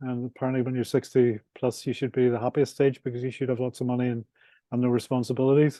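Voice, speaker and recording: A very fast, monotone, flat delivery from a man with a Northern Irish accent and a medium pitch. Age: 60s. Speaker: property developer and author. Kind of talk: podcast interview.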